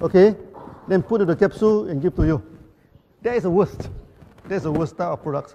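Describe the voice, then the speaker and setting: With noticeable background noise, a speaker with a Malaysian accent talks at a very fast pace yet leaves long, frequent pauses. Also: man, high pitch for a man, ordinary pitch variation. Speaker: company founder. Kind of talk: presentation to audience. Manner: repetitive stammering.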